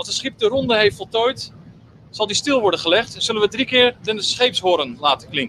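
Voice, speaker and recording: A man at a high pitch with lively intonation and a moderate pace, in a dry sound with no echo and light background noise. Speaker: funeral service guide. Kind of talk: guided tour explanation. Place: boat. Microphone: camera far.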